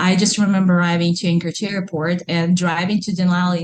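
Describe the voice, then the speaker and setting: In a Russian accent, a woman with a fairly low pitch speaks at a moderate pace. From Russia (Kazan, Tatarstan). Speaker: entrepreneur and mother. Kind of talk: interview. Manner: animated.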